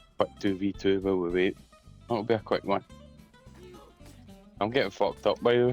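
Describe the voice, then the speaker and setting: Over background music, a man talks at a fairly quick pace and fairly low pitch with fairly even intonation, very even loudness and long, frequent pauses. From Scotland. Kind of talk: casual gaming chat.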